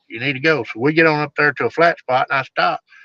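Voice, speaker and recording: Speaking at a very fast pace with a Southern US accent, a man has a bright, sharp tone and fairly even intonation, in a dry, close sound with no echo. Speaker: bigfoot researcher. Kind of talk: storytelling in casual interview. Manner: casual, folksy.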